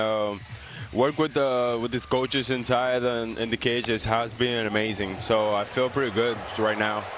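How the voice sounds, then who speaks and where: Noticeable background noise sits behind a man with a Spanish accent who speaks at a medium pitch and a moderate pace. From Dominican Republic, raised in Montreal. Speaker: professional baseball player. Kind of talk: TV interview. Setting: remote from ballpark. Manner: halting, many fillers.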